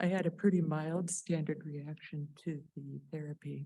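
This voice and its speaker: Using vocal fry, a woman speaks in a very deep, low pitch with a dark, mellow tone and monotone, flat intonation. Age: 60s. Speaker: melanoma patient and former newspaper journalist. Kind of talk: patient testimony, prepared talk.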